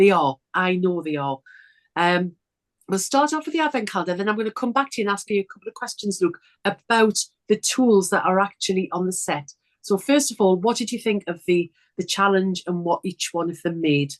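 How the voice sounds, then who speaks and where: With a Geordie accent, a woman talks at a medium pitch and a fairly quick pace, her intonation lively, in a dry, close sound with no echo. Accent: broad Geordie. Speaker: sewing presenter. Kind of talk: casual chat.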